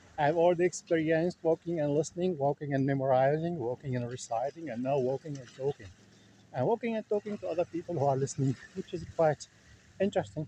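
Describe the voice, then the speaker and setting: The speech comes at a very fast pace in a Levantine accent. Pitch varies in an ordinary way. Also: man, fairly high pitch for a man. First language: Levantine Arabic. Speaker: linguistics vlogger. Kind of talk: casual vlog monologue. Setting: outdoors, walking. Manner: halting, many fillers.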